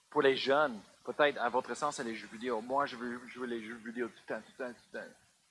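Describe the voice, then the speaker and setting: This man talks at a fairly quick pace in a medium pitch with monotone, flat intonation. His loudness swings widely. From US, Colorado. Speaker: pastor. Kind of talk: sermon. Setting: church. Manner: halting.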